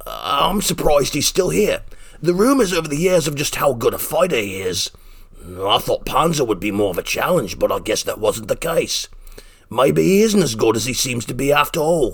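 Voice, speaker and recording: A man puts on a raspy character voice with a fairly high pitch. He moves at a moderate pace over light background noise. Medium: audio drama. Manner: crude, cocky, profane.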